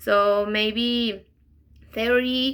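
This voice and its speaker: This woman talks with a Spanish accent. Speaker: interpreting student. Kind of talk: class reflection video. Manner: halting, many fillers.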